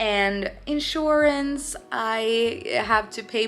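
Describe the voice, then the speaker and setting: With music in the background, a woman speaks in a Swedish accent at a fairly high pitch. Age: 20s. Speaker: painter. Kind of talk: casual vlog Q&A. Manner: slow, halting.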